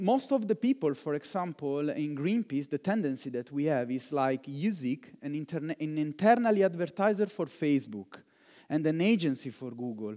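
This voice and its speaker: On a very clean recording with a silent background, a man with an Italian accent and a fairly high pitch speaks at a moderate pace, his dark, mellow tone carrying lively intonation. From Italy. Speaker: digital fundraiser. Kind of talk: conference keynote. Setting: conference hall with live audience.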